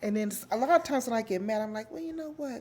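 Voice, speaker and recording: Very wide pitch swings run through a woman's fairly high voice. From Los Angeles, California (Watts). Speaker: interviewee sharing life story. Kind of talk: interview, personal life story. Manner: loud; giggly, laughs a lot.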